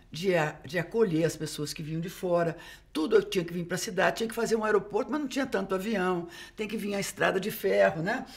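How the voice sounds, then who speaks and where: A woman talks at a very fast pace. Her voice sounds somewhat breathy. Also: ordinary pitch variation. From Uberlândia, Minas Gerais, Brazil; Minas Gerais, Brazil. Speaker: geography professor. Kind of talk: casual chat. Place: studio. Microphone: studio mic.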